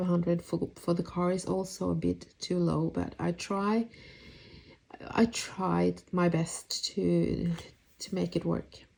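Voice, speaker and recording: A woman in a Norwegian accent, at a very slow pace. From Norway. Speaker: budget planner YouTuber. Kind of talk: voice-over for a budgeting tutorial. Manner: hesitant, casual.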